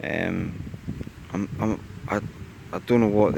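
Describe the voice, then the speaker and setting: A man speaks in a very deep, low voice with a Scottish accent. Noticeable background noise runs beneath him. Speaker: metal detecting vlogger. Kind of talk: casual vlog narration. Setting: outdoors in a field. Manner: monotone.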